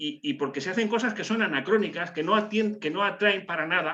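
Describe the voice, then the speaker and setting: A man's bright, sharp voice with lively intonation. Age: 60s. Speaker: participant in a religious discussion group. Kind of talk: group video call discussion. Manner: hesitant, many fillers and repetitions.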